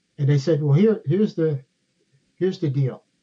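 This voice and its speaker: A somewhat breathy man with an American accent, fairly high in pitch, dark and mellow in tone, with ordinary pitch variation. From New Jersey. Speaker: retired DEA agent. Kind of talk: interview storytelling.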